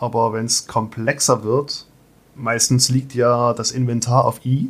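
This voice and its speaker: This man's speech is very slow. His voice sits at a medium pitch. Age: 30s. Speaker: metalworker and podcaster. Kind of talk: casual interview.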